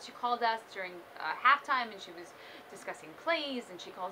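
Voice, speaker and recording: Amid noticeable background noise, a woman with an American accent talks at a fairly quick pace with lively intonation. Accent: faint Brooklyn, can turn it on and off. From Brooklyn, New York. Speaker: aspiring morning show host. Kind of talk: audition video monologue. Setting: self-recorded on video camera. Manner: animated.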